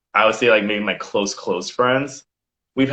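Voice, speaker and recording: A man with a normal speaking voice and an American accent, medium in pitch, at a fairly quick pace. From Virginia, Williamsburg. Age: 30s. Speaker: model. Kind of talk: casual chat.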